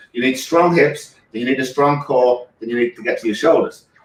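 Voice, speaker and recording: With an English accent, a man speaks very fast. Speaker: physical therapist. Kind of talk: product demonstration.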